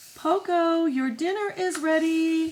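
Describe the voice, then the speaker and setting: A woman's squeaky, put-on character voice, pitched extremely high, at a fairly slow pace. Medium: read story.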